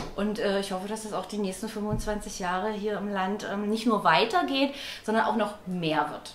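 A woman speaks at a moderate pace with ordinary pitch variation. There's audible room echo and light background noise. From East Germany. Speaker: party member. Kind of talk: interview testimony. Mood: warm, committed. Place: home room. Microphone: lapel.

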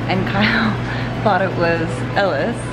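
A woman's voice at a fairly slow pace with clear music in the background. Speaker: vlogger. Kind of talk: casual vlog chat. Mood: amused, storytelling. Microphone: phone near.

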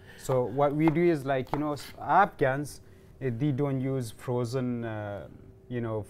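Speech comes at a very slow pace with fairly even intonation. Noticeable background noise is present. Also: man. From Afghanistan, Kandahar. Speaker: cooking show guest, newcomer to Canada. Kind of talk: cooking demonstration chat. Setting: teaching kitchen studio. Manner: halting, many fillers. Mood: calm, earnest. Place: studio.

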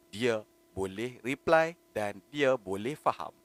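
The man's pitch swings very widely, and the sound is dry and close with no echo. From Malaysia, Penang. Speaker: online content creator. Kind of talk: solo live monologue. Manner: spontaneous, hesitant with fillers.

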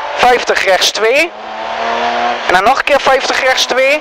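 Speech comes at a very slow pace in a dry sound with no echo, with noticeable background noise. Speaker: rally co-driver. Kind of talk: rally pace notes read aloud. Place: car. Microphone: helmet.

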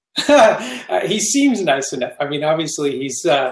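A man at a moderate pace, with audible room echo over a quiet background. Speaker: guest. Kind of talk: interview answer. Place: home room. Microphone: headset.

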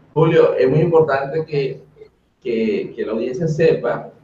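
Audible room echo surrounds a man whose speech moves at a fairly slow pace. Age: 30s. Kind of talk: webinar presentation. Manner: animated.

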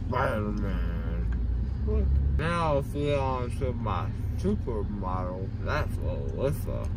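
Over loud background noise, a man speaks at a very slow pace with long, frequent pauses, the sound dry with no echo. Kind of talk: casual vlog chat. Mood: groggy, drowsy, loopy. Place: car. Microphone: phone near.

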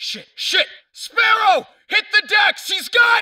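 Someone shouts in a put-on character voice. The pitch is extremely high. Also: fairly slow pace. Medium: audio drama. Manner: frantic, urgent.

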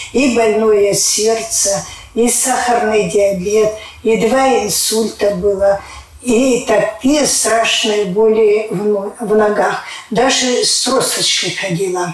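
In a room with audible echo, a woman with a fairly high voice talks at a very slow pace with fairly even intonation. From Siberia, Russia. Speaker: clinic patient. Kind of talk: testimonial interview. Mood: earnest, grateful. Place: office.

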